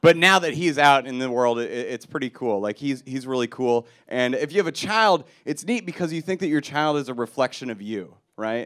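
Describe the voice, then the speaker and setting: A man speaks at a fairly quick pace. Around him, the background is quiet. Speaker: stand-up comedian. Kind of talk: stand-up comedy routine. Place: stage. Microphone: handheld.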